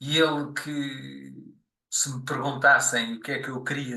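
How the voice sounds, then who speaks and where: The pace of this man's speech is fairly slow. He talks at a medium pitch. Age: 60s. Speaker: podcast guest. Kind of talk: interview, life story. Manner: halting, many fillers.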